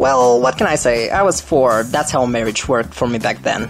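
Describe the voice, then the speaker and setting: A man speaks with a Bulgarian accent over music in the background. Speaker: screenwriter. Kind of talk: personal life story narration.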